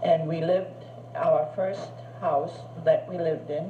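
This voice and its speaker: A woman with a German accent speaks at a very slow pace. Both noticeable background noise and audible room echo can be heard. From Germany, Berlin. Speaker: grandmother recording memories. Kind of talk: reminiscing monologue. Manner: halting.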